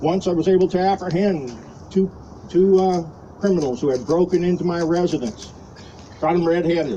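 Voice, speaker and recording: Against noticeable background noise, a man with a high pitch talks at a fairly quick pace with very even loudness and long, frequent pauses. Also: ordinary pitch variation. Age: 60s. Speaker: retired army officer speaking at a rally. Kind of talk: impromptu rally speech.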